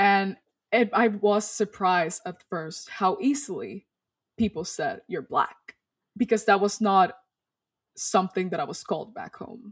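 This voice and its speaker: At a moderate pace, a woman speaks somewhat breathily at a medium pitch with ordinary pitch variation. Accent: Spanish. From Dominican Republic. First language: Spanish. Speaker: storyteller and activist. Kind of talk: interview. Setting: video call.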